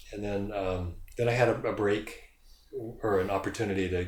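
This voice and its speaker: With audible room echo, a man speaks at a moderate pace in a fairly low voice and fairly even intonation. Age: 60s. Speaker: yoga studio founder. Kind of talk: casual interview.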